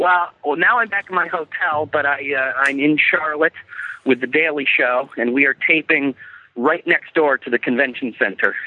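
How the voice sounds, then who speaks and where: At a moderate pace, a man speaks in a plain, everyday voice, fairly high in pitch and with ordinary pitch variation. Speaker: caller, works on a TV comedy show. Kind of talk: casual chat. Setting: phone call.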